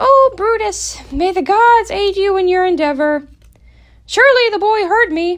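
At a moderate pace, a woman speaks with an extremely high pitch and lively intonation. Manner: anxious, urgent.

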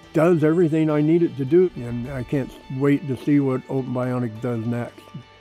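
Speech in an American accent at a moderate pace with ordinary pitch variation, dry with no echo, with faint music in the background. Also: man. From Pacific Northwest, USA. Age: 70s. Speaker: prosthetic arm user, hobby woodworker. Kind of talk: testimonial interview answer. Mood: warm, enthusiastic. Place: garden. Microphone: lapel.

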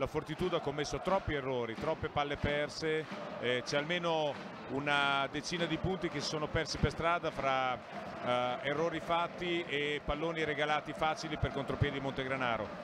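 A man's fairly high voice at a moderate pace with fairly even intonation, amid noticeable background noise. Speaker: basketball coach, expert co-commentator. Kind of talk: live sports commentary, calm tactical analysis of the game. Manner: measured, analytical, conversational.

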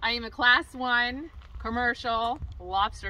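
Here a woman speaks in a fairly high pitch. Her tone is bright and sharp. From Maine, US (Down East coast). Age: 30s. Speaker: pageant contestant and lobster fisherman. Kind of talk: scripted narration. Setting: outdoors. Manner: formal.

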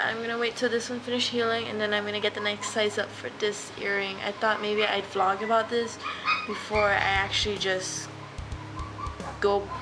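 At a moderate pace, a woman talks while music plays in the background. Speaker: vlogger. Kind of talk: casual vlog chat. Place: kitchen. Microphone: webcam.

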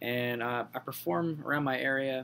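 A man with an American accent speaks in a bright, sharp tone over light background noise. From southern Pennsylvania, US. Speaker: graduate student in music therapy. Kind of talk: self-introduction video. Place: home room. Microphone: webcam.

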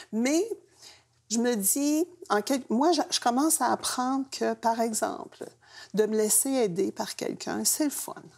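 Against a quiet background, a high-pitched woman speaks very slowly with lively intonation and long, frequent pauses. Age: 70s. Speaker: engaged retiree; guest. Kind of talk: panel discussion. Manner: hesitant. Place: studio. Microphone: lapel.

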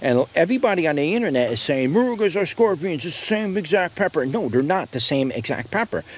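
A man talks at a moderate pace with very wide pitch swings, the sound dry with no echo. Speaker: seed seller. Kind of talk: casual product review commentary. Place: garden.

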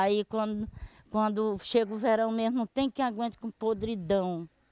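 Heard in a dry, close sound with no echo, a woman with an unremarkable speaking voice talks at a medium pitch and moderate pace. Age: 60s. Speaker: local resident. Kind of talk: news interview.

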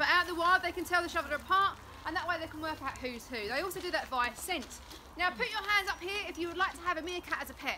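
Over clear background noise, a woman talks fast at a high pitch.

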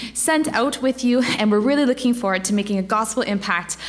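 Lively intonation marks this woman's speech. She moves along at a fairly quick pace. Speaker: guest. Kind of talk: sermon. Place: church.

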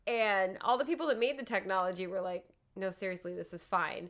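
A woman speaks against a quiet background. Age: 30s. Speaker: podcast co-host. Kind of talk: casual chat. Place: home room. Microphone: studio mic.

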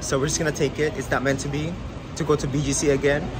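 A man rushes through his words at a very fast pace while noticeable background noise persists. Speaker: travel vlogger. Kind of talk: casual vlog chat. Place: street. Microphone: phone near.

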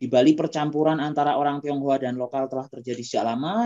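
Over a quiet background, a man with an unremarkable speaking voice talks at a fairly quick pace with a fairly high pitch. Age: young. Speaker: moderator, history graduate student; webinar moderator. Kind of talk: moderating an online seminar. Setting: video call. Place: home room. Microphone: video call.

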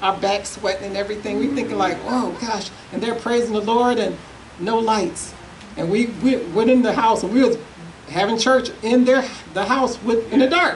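Light background noise runs under a woman's fairly high voice. She keeps a moderate pace with ordinary pitch variation. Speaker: evangelist. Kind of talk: testimony. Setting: church. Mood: fervent, encouraging. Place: church. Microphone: podium.

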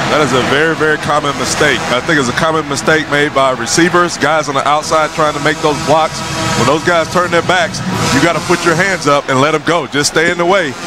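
Here a man talks at a fairly quick pace with a fairly high pitch and fairly even intonation. His loudness stays very even against noticeable background noise. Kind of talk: live color commentary, conversational analysis between plays. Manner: relaxed, talkative, chatty and explanatory, often hesitating and repeating words.

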